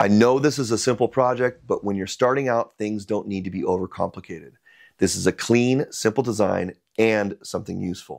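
The voice moves at a fairly quick pace with ordinary pitch variation against a quiet background. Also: man. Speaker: maker channel host. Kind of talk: product review narration. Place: garage. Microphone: lapel.

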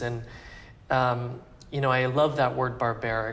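A man with an American accent speaks at a medium pitch in a flat, monotone delivery. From Texas (Plano); Texas. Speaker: fashion designer; interviewee. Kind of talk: interview. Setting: couture house salon, Paris. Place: home room. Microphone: lapel.

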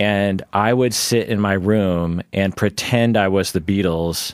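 With an unremarkable speaking voice, a man talks at a fairly slow pace and fairly low pitch, his intonation fairly even, in a dry, close sound with no echo and a very clean recording with a silent background. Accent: American. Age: 40s. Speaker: psychologist podcast host. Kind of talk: casual chat.

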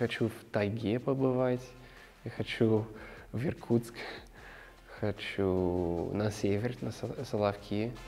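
At a very slow pace with long, frequent pauses, the speaker has a dark, mellow tone and fairly even intonation in an American accent. Faint music plays in the background. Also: man, medium pitch for a man. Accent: American accent in Russian. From Colorado, USA. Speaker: actor. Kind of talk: interview answer. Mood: warm, reflective. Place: studio. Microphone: lapel.

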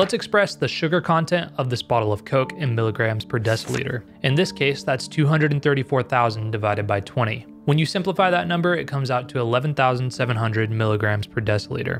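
Faint music plays in the background. A man speaks at a moderate pace with hardly any pauses. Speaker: health explainer host. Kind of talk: explainer narration. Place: home room. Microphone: studio mic.

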